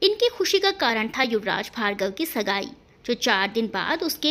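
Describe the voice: Simple, plain reading aloud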